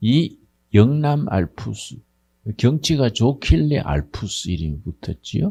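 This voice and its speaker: A man speaks very slowly in a dark, mellow, somewhat breathy tone with very wide pitch swings, on a very clean recording with a silent background and a dry, close sound without echo. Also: medium pitch for a man. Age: 80s+. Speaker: pastor. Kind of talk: congratulatory speech. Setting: graduation ceremony with audience. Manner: informal, conversational.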